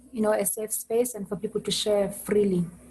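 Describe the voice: A woman talks at a medium pitch with a slightly husky edge. Her pace is fairly quick, with little pitch movement.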